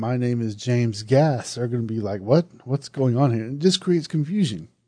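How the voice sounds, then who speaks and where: Against a quiet background, a man with a Southern US accent speaks at a moderate pace in a dark, mellow tone with ordinary pitch variation. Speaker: horror podcast host and reviewer. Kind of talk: podcast movie review, casual. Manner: conversational, self-deprecating.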